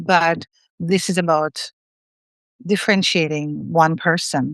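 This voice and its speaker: A woman with a non-native accent, fairly low pitch, fairly even intonation and a fairly slow pace, in a dry, close sound with no echo over a quiet background. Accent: non-native accent, noticeable. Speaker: solo consultant, audience member. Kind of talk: audience question.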